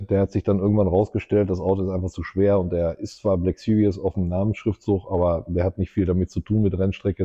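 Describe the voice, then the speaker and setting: A man with an ordinary speaking voice, fairly low in pitch and at a fairly quick pace. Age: 50s. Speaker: entrepreneur and race track co-founder. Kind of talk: casual interview.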